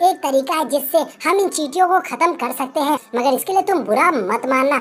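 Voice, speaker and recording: A woman's put-on character voice, high in pitch with lively intonation, at a moderate pace. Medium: read story.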